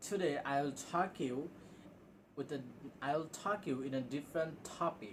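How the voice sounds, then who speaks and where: With a Bangladeshi accent, a man speaks fairly slowly in a fairly high pitch with ordinary pitch variation over noticeable background noise. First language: Bengali. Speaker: English teacher on video channel. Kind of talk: casual spoken lesson. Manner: halting, with self-corrections.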